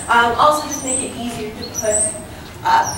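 Noticeable background noise and audible room echo fill the recording. Through them, a woman speaks at a moderate pace. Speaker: student tour guide. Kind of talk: guided tour talk. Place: street. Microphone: camera far.

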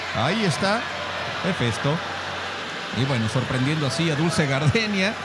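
A man is talking. Loud noise fills the background. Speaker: play-by-play commentator. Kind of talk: sports commentary.

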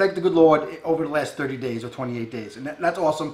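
Audible room echo surrounds a man as he speaks. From Long Island, New York. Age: 40s. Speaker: fishing video co-host. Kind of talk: casual chat. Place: home room.

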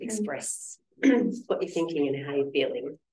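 Soft-spoken and low-pitched, a woman talks at a fairly slow pace with lively intonation and a slightly mellow tone, with audible room echo.

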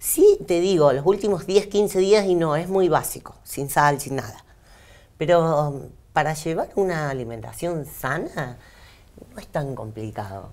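A woman speaks at a fairly slow pace in a very deep, low pitch. Her loudness swings widely. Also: lively intonation. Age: 40s. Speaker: bodybuilding athlete. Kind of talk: interview. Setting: radio studio. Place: studio. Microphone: lapel.

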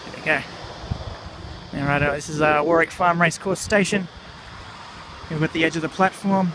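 Here a man speaks with fairly even intonation and a fairly high pitch. His tone is fairly bright, with faint background noise behind him.

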